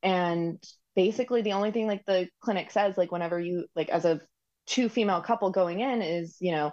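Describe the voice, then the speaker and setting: Against a quiet background, a woman speaks fairly quickly in a dark, mellow tone. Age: 30s. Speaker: recipient parent of donor-conceived triplets. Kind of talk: casual interview conversation. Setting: video call from home.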